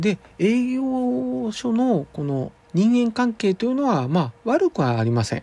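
At a fairly slow pace, a man with a high voice speaks with very wide pitch swings. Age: 50s. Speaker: acupuncturist and podcast host. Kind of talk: monologue. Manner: formal; halting with fillers.

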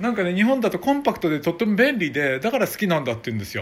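A man is speaking. His pitch swings very widely. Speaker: podcast host. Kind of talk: casual chat. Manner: animated; halting.

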